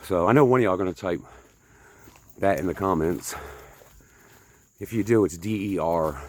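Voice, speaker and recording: A man's very deep, low voice at a moderate pace, broken by long, frequent pauses. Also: ordinary pitch variation. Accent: American. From northern US. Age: 50s. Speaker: vlogger. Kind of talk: casual vlog monologue while hiking. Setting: outdoors on hiking trail.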